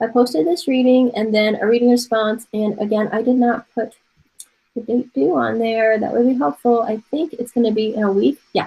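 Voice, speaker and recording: Speech unfolds at a moderate pace with ordinary pitch variation. The tone is dark and mellow, with some breathiness. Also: woman, fairly high pitch for a woman. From Taiwan. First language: Mandarin Chinese. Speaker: art professor. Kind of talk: online class lecture. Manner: casual.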